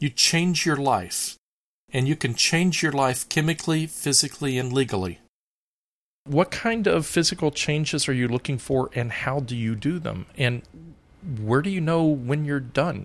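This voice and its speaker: A man with an American accent and an ordinary speaking voice, fairly high in pitch, lively in intonation, at a moderate pace, in a very clean recording with a silent background. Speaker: podcast host interviewer. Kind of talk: interview conversation.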